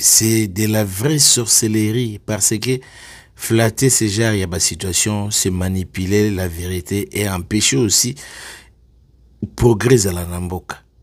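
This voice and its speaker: Very slowly, a man speaks. His pitch is fairly low, with ordinary variation. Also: very clean recording, silent background. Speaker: online commentator. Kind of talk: video commentary. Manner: animated.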